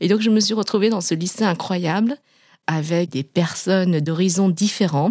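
A woman with a Vietnamese accent, fairly low in pitch and dark and mellow in tone, on a very clean recording with a silent background. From Vietnam, then France from age 11. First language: Vietnamese (speaking French). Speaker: pharmaceutical executive. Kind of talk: interview testimony. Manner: hesitant, many fillers.

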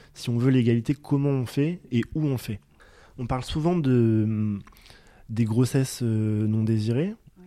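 In a dark, mellow tone, a man at a medium pitch speaks fairly slowly with ordinary pitch variation and long, frequent pauses. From rural France. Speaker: sociologist. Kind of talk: interview. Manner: halting.

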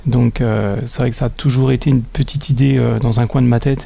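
There is noticeable background noise as a man of medium pitch talks at a moderate pace with fairly even intonation. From Franche-Comté, France (Besançon). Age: 40s. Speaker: company director. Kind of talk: interview. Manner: halting, many fillers and repetitions.

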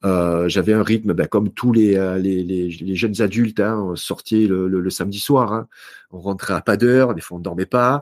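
In a very clean, dry recording with a silent background and no echo, a man talks at a moderate pace with ordinary pitch variation. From southern France, Marseille. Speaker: author and speaker on health. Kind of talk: interview conversation.

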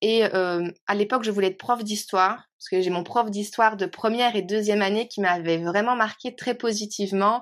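In a very clean recording with a silent background, a woman uses an ordinary speaking voice at medium pitch, keeping a moderate pace with fairly even intonation and hardly any pauses. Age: 30s. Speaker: teacher and trainer. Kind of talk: interview.

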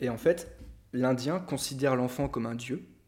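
This man's voice sits at a medium pitch, his intonation fairly even and his pace moderate. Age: 20s. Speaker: art director and photographer. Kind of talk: casual chat.

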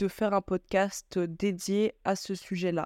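Recorded very cleanly against a silent background, a woman speaks at a medium pitch with a dry, close sound and no echo. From France. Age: 20s. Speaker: podcast host and business consultant. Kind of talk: solo podcast monologue. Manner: halting, frequent fillers.

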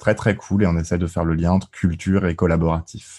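A man's very deep, low-pitched voice with a dark, mellow tone, at a fairly quick pace against a quiet background. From Alsace, France. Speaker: gamification consultant, engineer. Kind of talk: podcast interview.

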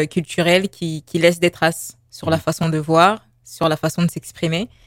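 A woman speaks at a fairly low pitch in a monotone, flat delivery. The sound is dry and close, with no echo. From Paris, France. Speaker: visual artist and graphic designer. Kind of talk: radio interview.

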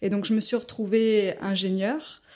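A woman speaks in a dark, mellow tone. Her pace is fairly slow. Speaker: yoga and meditation teacher. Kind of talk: interview.

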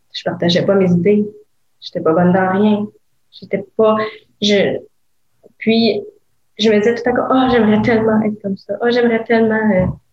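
Somewhat breathy, a woman with a Quebec accent speaks at a fairly high pitch. Her intonation is fairly even, broken by long, frequent pauses. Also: moderate pace. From Quebec (Gatineau). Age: 20s. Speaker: legal assistant and wellness entrepreneur. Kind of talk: interview testimony.

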